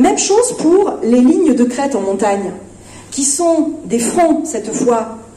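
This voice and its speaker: Pitch swings very widely in this clip, which carries audible room echo and noticeable background noise. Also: woman. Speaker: philosophy festival speaker. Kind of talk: lecture. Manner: hesitant, many fillers.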